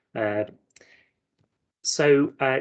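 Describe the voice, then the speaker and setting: This is a man speaking. He has a Belfast accent. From Northern Ireland, Belfast. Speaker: marine scientist. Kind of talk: careers talk presentation.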